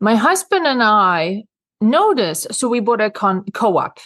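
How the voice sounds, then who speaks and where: In a dry, close recording with no echo and a quiet background, a woman speaks at medium pitch with a Swedish accent. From rural Sweden. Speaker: real estate consultant and author. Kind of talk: interview.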